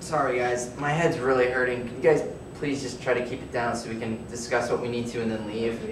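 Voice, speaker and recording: A man's fairly quick, fairly even delivery over noticeable background noise. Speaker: teacher or instructor. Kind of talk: classroom address to students. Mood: unwell, strained, irritated. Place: classroom. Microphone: camera far.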